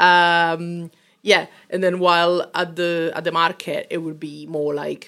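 A woman with an Italian accent, fairly low in pitch, monotone and flat, at a fairly slow pace on a very clean recording with a silent background. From Italy, Rome. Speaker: food business owner. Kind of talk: interview. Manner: hesitant with many fillers.

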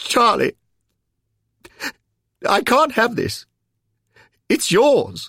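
A man's put-on character voice, extremely high-pitched, with a bright, sharp tone, a slightly husky edge, very wide pitch swings and a very slow pace

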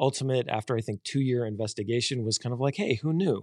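An unremarkable speaking voice moves at a fairly quick pace with ordinary pitch variation. The sound is dry and close with no echo, over a quiet background. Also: man. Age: 50s. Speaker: pastor. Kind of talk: casual chat.

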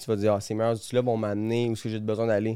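In a Quebec accent, a man with a medium pitch and a dark, mellow tone is heard on a very clean recording with a silent background. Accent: Québécois French. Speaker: race car driver. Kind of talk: casual chat.

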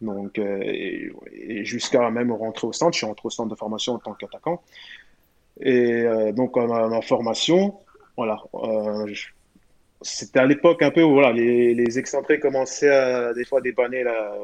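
A man with an unremarkable speaking voice, at a fairly slow pace, with ordinary pitch variation. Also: medium pitch for a man. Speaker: former professional footballer. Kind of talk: podcast interview.

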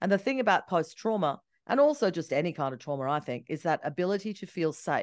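Against a quiet background, a woman with an Australian accent speaks very fast in an animated tone, her fairly low voice making very wide pitch swings. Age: 50s. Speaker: travel and ski journalist. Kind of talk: casual chat.

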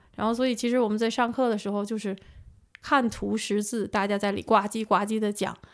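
A fairly high-pitched woman at a fairly quick pace on a very clean recording with a silent background. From northern China. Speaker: AI researcher. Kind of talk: casual interview. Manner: hesitant.

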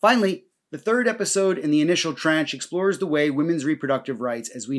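A man with a New Jersey accent talks at a very fast pace in a fairly high pitch with lively intonation, on a very clean recording with a silent background. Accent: American, New Jersey. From US Northeast, New Jersey. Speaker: historian and podcast host. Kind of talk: scripted narration.

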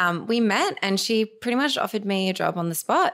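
On a very clean recording with a silent background, a woman talks fairly quickly with an Australian accent and ordinary pitch variation. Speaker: digital communication specialist and beauty founder. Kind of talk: casual interview chat.

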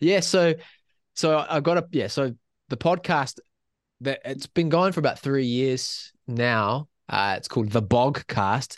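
With a New Zealand accent and lively intonation, this voice moves at a fairly slow pace, the sound dry and close with no echo over a quiet background. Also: man, fairly high pitch for a man. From New Zealand, Waikato. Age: 20s. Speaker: school teacher and podcaster. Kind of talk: casual interview, faith testimony.

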